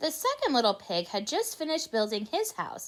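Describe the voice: Here the text gets plain reading aloud.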